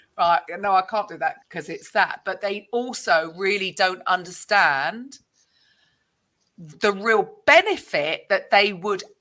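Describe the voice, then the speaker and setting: A woman with a British accent speaks at a fairly slow pace in a bright, sharp tone, her fairly high pitch swinging very widely. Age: 50s. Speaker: podcast host. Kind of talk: interview conversation.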